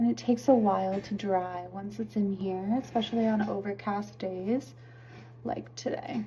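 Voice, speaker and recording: With very wide pitch swings, a woman speaks at a medium pitch and a moderate pace. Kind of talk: ASMR get-ready-with-me talk. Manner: soft-spoken, relaxing.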